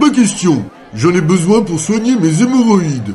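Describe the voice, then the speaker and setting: Against clear background noise, a man uses a cartoonish character voice pitched high, talking at a moderate pace. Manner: stubborn, crude.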